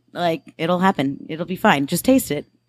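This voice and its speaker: A woman with a plain, everyday voice speaks at a fairly low pitch with ordinary pitch variation, the sound dry and close with no echo on a very clean recording with a silent background. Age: 20s. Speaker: bartender. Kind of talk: casual chat. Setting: recorded at a bar.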